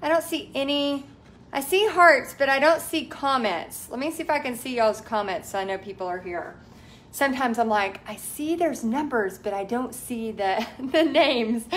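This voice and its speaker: A woman's high-pitched voice with lively intonation at a moderate pace. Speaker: art instructor. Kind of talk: casual live-stream chat. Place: home room. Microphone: phone near.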